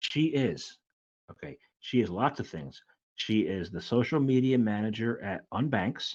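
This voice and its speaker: A man with an ordinary speaking voice talks at medium pitch and a fairly slow pace, with ordinary pitch variation. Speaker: podcast host. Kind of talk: podcast intro.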